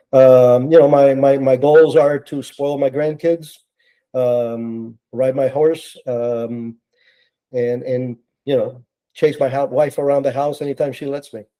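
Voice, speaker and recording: A man with an American accent speaks at a fairly high pitch and a fairly slow pace. His tone is dark and mellow, with monotone, flat intonation. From Cuba, then US from childhood. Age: 70s. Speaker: retired intelligence officer and author. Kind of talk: podcast interview.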